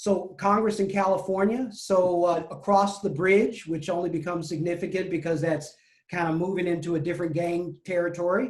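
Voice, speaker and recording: A man with an American accent at a high pitch, fairly quick pace and fairly even intonation, with hardly any pauses. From Chicago, west side. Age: 60s. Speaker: deacon. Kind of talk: interview.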